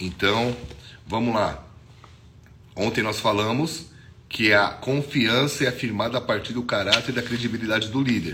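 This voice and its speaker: With audible room echo around him, a man of medium pitch talks at a moderate pace with ordinary pitch variation and long, frequent pauses. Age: 40s. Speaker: pastor. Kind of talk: devotional sermon. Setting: social media video. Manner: casual, conversational.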